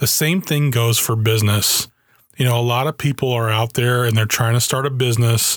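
A man with a plain, everyday voice talks at a fairly quick pace in a medium pitch, his intonation fairly even. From Germany (US army family). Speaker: podcast host. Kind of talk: solo podcast monologue.

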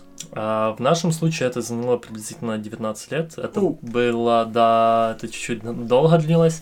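A man speaks at a moderate pace and medium pitch, his pitch varying in an ordinary way, while noticeable background noise sits underneath. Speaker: immigrant sharing his story. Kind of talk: casual interview.

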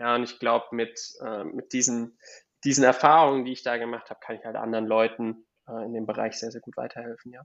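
A man speaks at a medium pitch with a flat, monotone delivery. His loudness swings widely and his pace is very fast. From Germany, Palatinate (Kaiserslautern). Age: 20s. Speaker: real estate investor. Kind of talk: interview. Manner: halting, repeats words.

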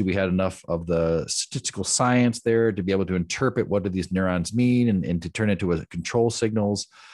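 Over a quiet background, a man talks at a very fast pace with a fairly low pitch and ordinary pitch variation. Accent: American. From US Midwest, Michigan. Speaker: neuroscience entrepreneur. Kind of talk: casual interview. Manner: halting, many repetitions.

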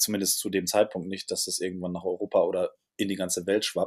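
A man's voice sits at a fairly low pitch. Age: 60s. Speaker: hotelier and restaurateur. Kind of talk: interview. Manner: hesitant with filler sounds.

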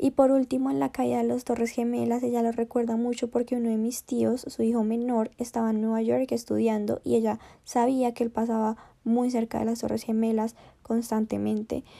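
A woman's fairly high, dark, mellow voice in a flat monotone at a moderate pace, on a very clean recording with a silent background. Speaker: university student, podcast host. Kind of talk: podcast presentation and interview.

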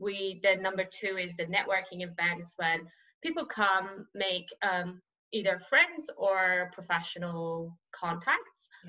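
A woman speaks with a Persian accent. Her pace is very slow and her tone bright and sharp. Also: medium pitch for a woman, ordinary pitch variation, big swings in loudness. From Iran (Tehran). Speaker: investment manager. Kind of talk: interview.

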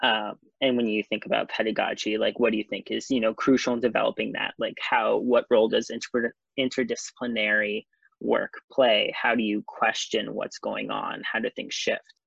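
Recorded in a dry, close sound with no echo, a man talks at a moderate pace. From New York City. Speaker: architecture student. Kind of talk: casual chat.

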